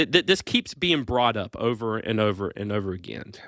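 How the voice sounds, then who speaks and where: Over a silent background in a very clean recording, a man speaks at a moderate pace with a bright, sharp tone. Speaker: podcast host. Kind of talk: casual chat. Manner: joking, playful.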